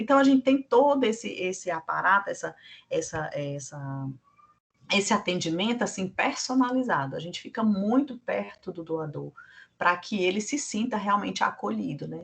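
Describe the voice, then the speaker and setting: Somewhat breathy and medium in pitch, a woman speaks at a moderate pace with very wide pitch swings and big swings in loudness. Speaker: blood centre staff trainer. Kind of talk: training lecture.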